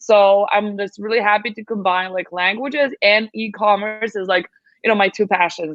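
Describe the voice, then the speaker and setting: Speaking at a moderate pace with a Serbian accent, this voice keeps a fairly even intonation. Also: woman, medium pitch for a woman. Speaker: translation agency founder. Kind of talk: podcast interview.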